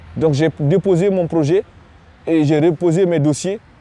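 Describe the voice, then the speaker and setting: A man's fairly high-pitched voice with fairly even intonation, the sound dry and close with no echo. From Guinea. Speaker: refugee, student. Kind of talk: testimony. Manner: halting, many repetitions.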